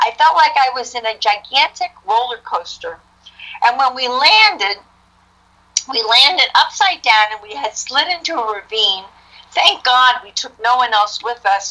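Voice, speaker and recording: At a moderate pace, a woman with a New Jersey accent speaks in a high pitch with lively intonation. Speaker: author. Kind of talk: testimony. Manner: animated.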